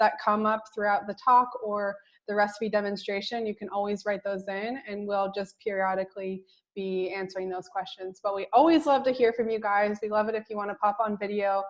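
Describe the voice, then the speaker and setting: Fairly quick, fairly high woman's voice with fairly even intonation, an unremarkable speaking voice. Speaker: co-host of online course. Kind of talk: online class announcements.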